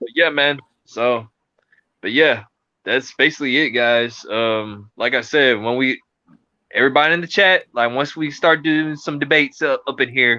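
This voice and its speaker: A man with an American accent and an ordinary speaking voice, at medium pitch and a moderate pace, with ordinary pitch variation. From US South. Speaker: podcast co-host. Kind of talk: casual chat. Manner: informal, filler-heavy.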